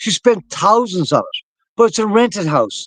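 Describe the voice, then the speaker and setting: The tone is animated, with an Irish accent, lively intonation and a moderate pace. The sound is dry and close with no echo, against a quiet background. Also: man. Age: 60s. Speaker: activist talk show host. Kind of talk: political discussion.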